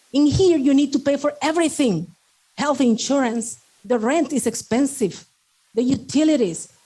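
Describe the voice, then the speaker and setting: Speaking at a moderate pace, a woman with a Salvadoran accent has a high pitch, a dark, mellow tone and ordinary pitch variation. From El Salvador. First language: Spanish. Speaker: network marketing speaker, doctor and medical instructor. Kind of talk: motivational talk.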